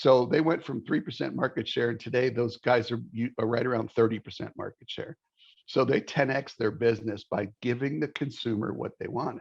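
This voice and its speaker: Speaking at a fairly quick pace, a man uses a medium pitch with vocal fry. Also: ordinary pitch variation. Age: 60s. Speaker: mortgage industry sales executive. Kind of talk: interview podcast conversation.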